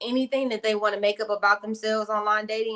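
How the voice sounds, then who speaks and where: Her tone bright and sharp, a woman talks with an American accent. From Arizona, US. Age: 30s. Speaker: YouTuber answering viewer questions. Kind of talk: casual live Q&A chat.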